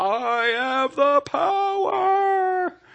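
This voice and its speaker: His voice is a put-on character act, pitched extremely high. The man is shouting. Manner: shouting, heroic.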